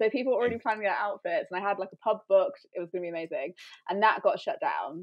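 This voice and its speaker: Someone talks at a very fast pace with an English Midlands accent. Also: woman. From England, Coventry. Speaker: YouTuber. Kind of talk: casual chat.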